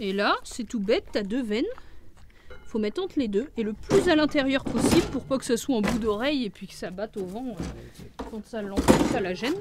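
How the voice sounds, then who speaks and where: With music in the background, a woman talks at a fairly high pitch and moderate pace with lively intonation. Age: 20s. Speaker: dairy farmer. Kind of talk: interview answer.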